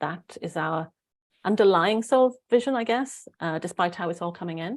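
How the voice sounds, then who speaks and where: A woman with a Welsh accent at a fairly quick pace, in a very clean recording against a silent background. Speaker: spiritual channeler, online show host. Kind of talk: casual live-stream chat.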